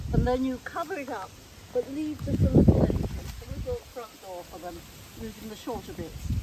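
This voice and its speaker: Fairly quick speech from a woman with a high pitch, very wide pitch swings and big swings in loudness, over noticeable background noise. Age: 80s+. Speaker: gardener. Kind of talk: garden demonstration. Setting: outdoors.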